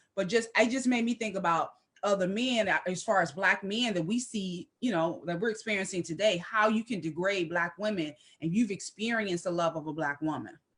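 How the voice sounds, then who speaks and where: Using an unremarkable speaking voice, a woman talks at a medium pitch and a fairly quick pace with ordinary pitch variation. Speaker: discussion show co-host. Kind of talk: casual discussion. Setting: live stream.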